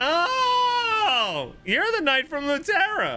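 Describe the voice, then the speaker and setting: In a put-on character voice, a female-sounding speaker talks very slowly at an extremely high pitch with very wide pitch swings. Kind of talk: voice acting for a game. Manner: silly, exaggerated.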